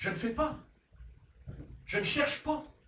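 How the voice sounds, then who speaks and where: Audible room echo surrounds the speaker. He is a man talking at a fairly slow pace. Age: 60s. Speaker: pastor. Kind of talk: sermon. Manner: animated.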